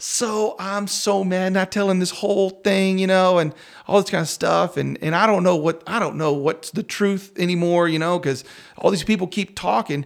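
At a moderate pace, a man with a West Texas accent talks in a high pitch. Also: fairly even intonation. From rural West Texas, near Crosbyton. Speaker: worship pastor. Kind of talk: casual interview.

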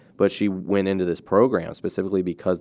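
A man's very deep, low voice at a moderate pace against a quiet background. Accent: American. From US Mid-Atlantic, Cecil County, Maryland. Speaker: podcast host, former journalist. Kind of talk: interview. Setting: studio.

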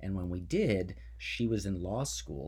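A man's very deep, low voice comes through with vocal fry. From New Jersey. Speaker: Senate candidate. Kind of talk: interview.

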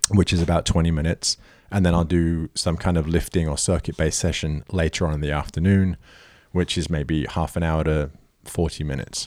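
The background is silent and the recording very clean. Delivery stays monotone and flat in intonation. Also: man, very deep, low pitch for a man. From England. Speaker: personal trainer. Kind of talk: casual chat.

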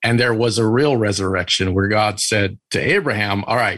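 Here a man speaks in an unremarkable speaking voice. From Italian-American, US. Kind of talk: interview.

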